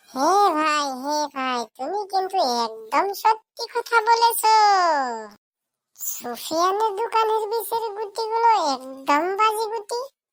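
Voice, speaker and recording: A cartoonish, squeaky character voice from a woman, extremely high-pitched, with very wide pitch swings at a fairly slow pace. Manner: chatty, folksy.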